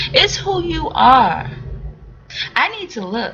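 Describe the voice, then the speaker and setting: A woman uses a put-on character voice, pitched high and delivered at a fairly slow pace. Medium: solo performance. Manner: earnest, intent.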